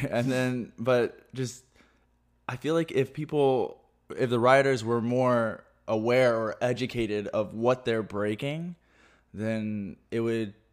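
At a very slow pace, a man speaks at medium pitch with fairly even intonation. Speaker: podcast host. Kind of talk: casual chat. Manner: halting.

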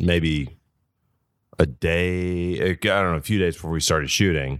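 A man with a Southern US accent talks in a very deep, low voice. The recording is very clean, with a silent background. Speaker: actor. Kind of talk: casual chat.

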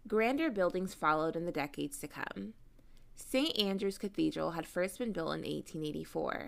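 A woman's voice with vocal fry sits on a very clean recording with a silent background. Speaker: podcast co-host. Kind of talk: ghost story telling, narrated true-crime style.

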